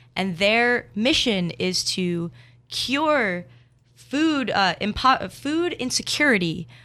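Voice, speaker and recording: A woman speaks very slowly at a fairly high pitch, with a bright, sharp tone and very wide pitch swings. The recording is very clean, with a silent background. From New Jersey. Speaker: university student. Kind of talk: casual chat.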